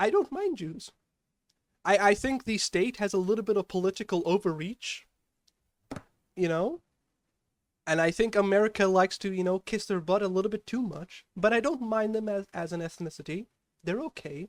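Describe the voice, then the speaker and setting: A high-pitched man at a moderate pace, with long, frequent pauses and ordinary pitch variation, in a very clean recording with a silent background and a dry, close sound with no echo. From South Africa. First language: Afrikaans. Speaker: vtuber streamer. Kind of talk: casual live stream chat, reading viewer questions. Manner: animated.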